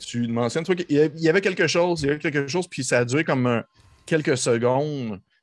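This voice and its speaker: Speaking at a fairly quick pace, a man with a Quebec accent uses medium pitch and lively intonation. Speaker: game master of a role-playing podcast. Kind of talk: tabletop role-playing narration. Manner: animated.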